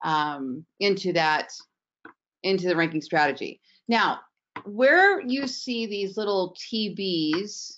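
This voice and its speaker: Relaxed tone and lively intonation at a very slow pace. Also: woman, medium pitch for a woman. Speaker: digital marketing trainer. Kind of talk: tutorial. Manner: slow, relaxed pace; casual, with many fillers.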